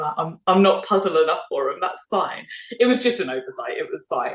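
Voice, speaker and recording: A woman speaks with a British accent in a somewhat breathy voice. Her pitch swings very widely. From United Kingdom. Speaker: speed puzzler. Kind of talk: casual interview chat. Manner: animated.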